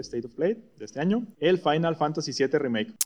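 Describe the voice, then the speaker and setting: A man's fairly high, lively voice with a Mexican accent. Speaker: podcast co-host. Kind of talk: casual chat.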